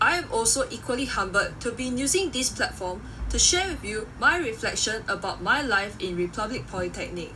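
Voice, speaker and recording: Moderate-paced speech from a woman amid audible room echo and noticeable background noise. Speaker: graduating student. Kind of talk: reading aloud a prepared speech. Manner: formal.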